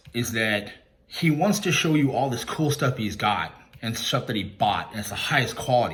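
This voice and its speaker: A man speaks at a fairly quick pace with lively intonation. Room echo is audible. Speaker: YouTube commentator and credit repair worker. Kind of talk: callout rant video. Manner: loud and clear; confrontational.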